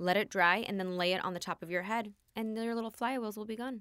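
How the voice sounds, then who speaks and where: A normal speaking voice from a woman with an American accent, fairly quick, with ordinary pitch variation, on a very clean recording with a silent background. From US West Coast, Los Angeles area. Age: 30s. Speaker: hairstylist and salon owner. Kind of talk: interview.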